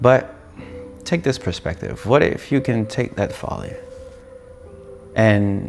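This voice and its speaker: Music plays in the background while a voice with an American accent speaks at a very slow pace. The pitch variation is ordinary. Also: man. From France and United States. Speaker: filmmaker. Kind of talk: personal reflection monologue. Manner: animated.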